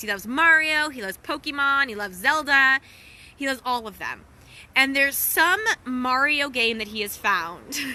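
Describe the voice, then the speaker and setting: A woman projects a raised voice at a high pitch. Her intonation is lively. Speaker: wellness coach and social media host. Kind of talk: casual storytelling livestream. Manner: animated, laughing; lowered voice briefly.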